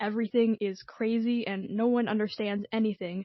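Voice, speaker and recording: A woman speaks with a fairly high, hoarse voice. Her intonation stays fairly even. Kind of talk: personal video essay narration.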